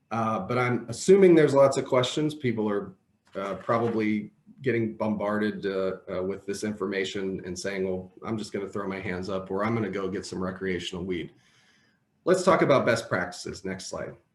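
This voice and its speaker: A plain, everyday voice from a man, moderate in pace, fairly low in pitch, with ordinary pitch variation. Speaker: employment lawyer. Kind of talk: webinar presentation. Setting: video call.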